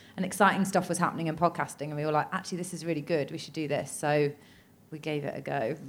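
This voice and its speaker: Speaking at a very fast pace with an English accent, a woman has a very deep, low pitch, fairly even intonation and big swings in loudness. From England. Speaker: podcaster. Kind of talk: live comedy interview podcast. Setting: stage with audience.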